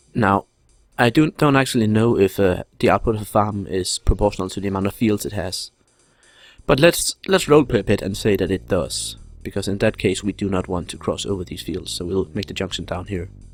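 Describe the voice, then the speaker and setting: Over music in the background, a man with a fairly low pitch speaks at a moderate pace with ordinary pitch variation, and the sound is dry and close with no echo. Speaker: let's play gamer. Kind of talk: gameplay commentary. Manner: halting.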